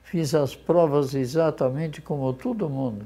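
Dark and mellow in tone, a man's medium-pitched voice moves at a fairly slow pace. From interior of São Paulo state, Brazil (Garça); born in Poland. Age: 80s+. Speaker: retired businessman, law graduate at 90. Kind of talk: interview.

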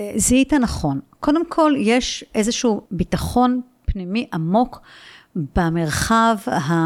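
The speech moves at a very slow pace with very wide pitch swings. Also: woman, fairly high pitch for a woman. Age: 60s. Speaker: philosophy lecturer and mindfulness teacher. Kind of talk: casual interview. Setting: at her home.

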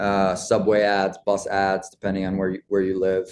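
A man's very deep, low pitch in a monotone, flat delivery at a fairly quick pace. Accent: American. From Long Island, New York. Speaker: fashion entrepreneur. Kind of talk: interview. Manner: halting, many fillers.

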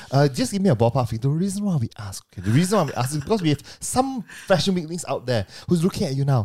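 A man speaks very fast in a fairly high pitch with a dark, mellow, somewhat breathy tone and very wide pitch swings, on a very clean recording with a silent background. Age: 30s. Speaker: podcast host. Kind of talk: casual chat. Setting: studio.

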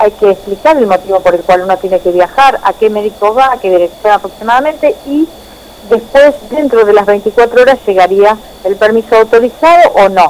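In a Rioplatense accent, a woman talks at a moderate pace with lively intonation and a fairly high pitch. Noticeable background noise runs underneath. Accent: Argentine Rioplatense Spanish. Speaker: journalist. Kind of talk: radio interview.

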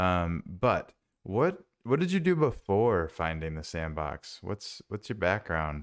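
Lively intonation carries a man's very deep, low voice at a very slow pace with an American accent. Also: very clean recording, silent background. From US Midwest, Minnesota. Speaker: podcast host. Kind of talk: casual chat.

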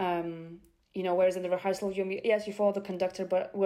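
A woman's medium-pitched voice with a dark, mellow tone at a very fast pace. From Bulgaria. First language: Bulgarian. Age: young. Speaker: opera répétiteur (vocal coach pianist). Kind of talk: interview.

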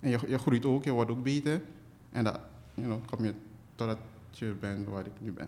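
Spoken with a Surinamese accent, the dark, mellow voice moves at a moderate pace with ordinary pitch variation and long, frequent pauses. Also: man, medium pitch for a man. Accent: Surinamese Dutch. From Suriname, interior. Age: 20s. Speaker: illustrator and cartoonist. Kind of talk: casual interview.

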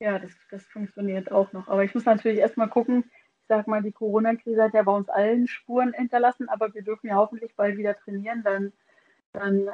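A woman with a normal speaking voice talks at a fairly quick pace, medium pitch and fairly even intonation. The sound is dry and close, with no echo. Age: 30s. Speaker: podcast co-host, former women's football player. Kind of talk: casual chat. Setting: remote call.

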